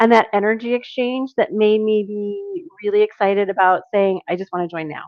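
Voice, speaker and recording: A woman with a plain, everyday voice talks at a moderate pace, fairly high in pitch and lively in intonation. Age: middle-aged. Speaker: business owner. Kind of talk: interview.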